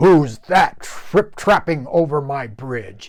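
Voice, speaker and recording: A man bellows in a put-on character voice at a fairly high pitch. His pace is very slow. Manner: bellowing.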